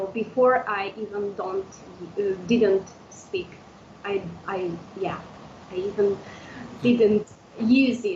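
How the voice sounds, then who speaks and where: A woman with an Udmurtia accent talks at a very slow pace, with long, frequent pauses. Her pitch is medium, her intonation fairly even, and there is noticeable background noise. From Udmurtia, Russia (village). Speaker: language teacher. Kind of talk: interview. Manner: halting, many fillers.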